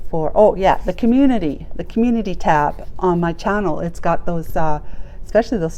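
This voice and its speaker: A woman at a medium pitch and moderate pace, with lively intonation over noticeable background noise. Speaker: tarot reader. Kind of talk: tarot reading. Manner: animated.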